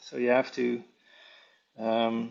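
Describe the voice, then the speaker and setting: A man speaks in a medium pitch with a Dutch accent. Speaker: wildlife tracker and conservationist. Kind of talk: interview. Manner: hesitant, many fillers.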